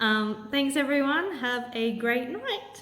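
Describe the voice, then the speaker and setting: A woman talks in a fairly high pitch. The room echo is clearly audible. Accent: Australian. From Australia, Sydney. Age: 30s. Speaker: cancer patient vlogger. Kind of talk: Q&A video monologue.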